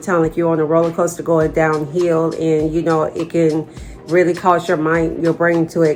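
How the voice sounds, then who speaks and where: The speaker is a woman whose pitch is fairly low. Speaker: vlogger sharing chronic illness experience. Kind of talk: personal vlog talk to camera. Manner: stuttering, halting.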